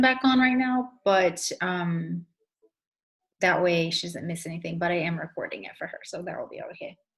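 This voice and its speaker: With ordinary pitch variation, a woman speaks in an unremarkable speaking voice. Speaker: essential oils trainer. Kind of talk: online training session.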